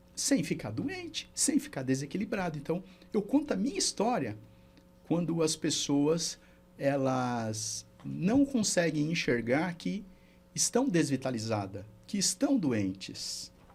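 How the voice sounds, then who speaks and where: A man speaks at a very slow pace in a fairly high pitch, with very wide pitch swings. Vocal fry runs through his voice. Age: 60s. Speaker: therapist and mentor. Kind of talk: podcast interview.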